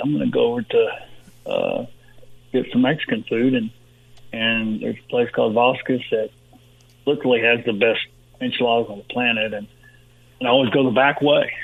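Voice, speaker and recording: A man with a Texan accent at a fairly quick pace, broken by long, frequent pauses. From Texas, Uvalde. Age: 60s. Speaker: retired football player and sports agent. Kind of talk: interview. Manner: halting, many repetitions.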